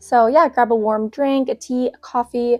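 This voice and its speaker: A woman speaks high-pitched at a fairly slow pace. Her intonation is fairly even, and the sound is dry and close, with no echo. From Canada. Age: 20s. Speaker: lifestyle vlogger. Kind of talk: casual vlog chat.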